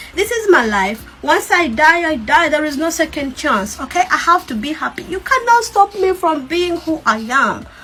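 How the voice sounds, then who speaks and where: A raised, projected, animated voice at a moderate pace, with very wide pitch swings and hardly any pauses. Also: woman, extremely high pitch for a woman. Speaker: TikToker. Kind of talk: video rant.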